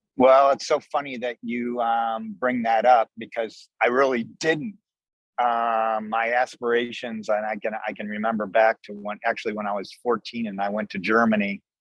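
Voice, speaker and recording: Using a normal speaking voice, a man talks at a moderate pace with medium pitch and fairly even intonation, recorded with a dry, close sound and no echo. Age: 60s. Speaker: restaurant owner, army veteran. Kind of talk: interview.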